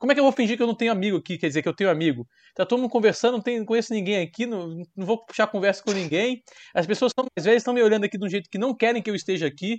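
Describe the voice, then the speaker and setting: Talking at a very fast pace, the man has a high pitch. His pitch variation is ordinary. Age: 30s. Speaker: podcast co-host. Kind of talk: casual chat. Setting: recording from home.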